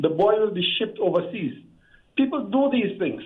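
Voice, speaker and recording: High-pitched man's voice at a moderate pace with lively intonation. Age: 60s. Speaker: caller. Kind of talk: call-in discussion.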